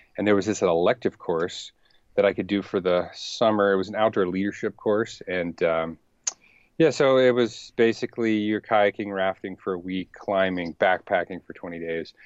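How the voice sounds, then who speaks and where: This man has a normal speaking voice with an American accent and a fairly low pitch. He talks at a moderate pace with ordinary pitch variation. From US South, Richmond, Virginia. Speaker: professional paddler. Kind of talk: casual interview.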